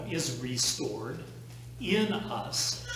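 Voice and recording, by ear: Amid clear background noise and audible room echo, a man speaks at a very slow pace in a medium pitch, with big pitch swings.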